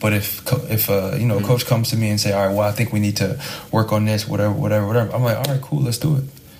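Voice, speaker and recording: Speech races along at a very fast pace with very even loudness over noticeable background noise. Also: man, fairly low pitch for a man, fairly even intonation. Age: 20s. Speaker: professional basketball player. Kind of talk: podcast interview.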